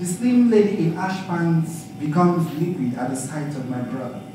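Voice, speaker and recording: In a room with audible echo and noticeable background noise, a man speaks fairly slowly at a fairly high pitch. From Nigeria. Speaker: poet. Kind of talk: poetry reading. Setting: stage with audience.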